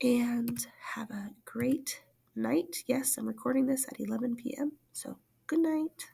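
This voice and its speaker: Slow-paced, somewhat: a woman speaks fairly slowly at a high pitch with a dark, mellow tone and ordinary pitch variation. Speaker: school teacher. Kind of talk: recorded class lesson.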